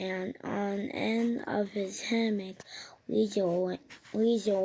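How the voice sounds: A natural reading voice with fairly even intonation.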